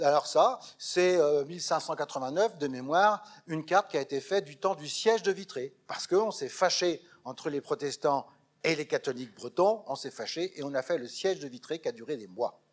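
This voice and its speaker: Speaking at a moderate pace, a man with a fairly high voice uses lively intonation and big swings in loudness. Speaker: lecturer, retired schoolteacher. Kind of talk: public lecture. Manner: animated.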